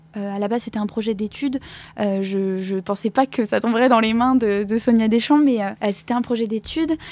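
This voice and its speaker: A woman speaks at a fairly quick pace. Her voice is fairly high, with ordinary pitch variation. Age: 20s. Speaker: comic book author. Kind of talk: interview. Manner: halting.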